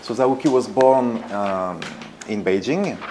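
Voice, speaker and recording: A man with a strong French accent uses ordinary pitch variation against noticeable background noise. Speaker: art foundation director, former artist's assistant. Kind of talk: presentation talk. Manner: hesitant, many fillers.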